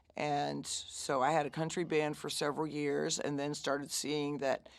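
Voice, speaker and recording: With an American accent, this gravelly voice shows vocal fry at a moderate pace on a very clean recording with a silent background. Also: woman. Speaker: blues singer and bandleader. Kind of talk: casual interview.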